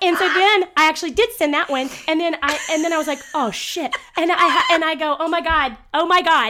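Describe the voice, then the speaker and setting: Raised and projected, a woman's bright, sharp voice sits at an extremely high pitch, with lively intonation, a fairly quick pace and hardly any pauses. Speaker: podcast co-host. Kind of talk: casual chat. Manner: joking, chatty.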